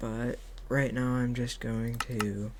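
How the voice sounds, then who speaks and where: A soft-spoken voice over noticeable background noise. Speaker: gaming tutorial youtuber. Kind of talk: tutorial. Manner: halting, many fillers.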